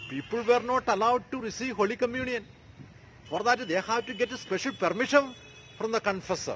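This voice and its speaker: Light background noise sits behind a man whose high-pitched voice shows ordinary pitch variation. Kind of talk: sermon. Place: street. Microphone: phone near.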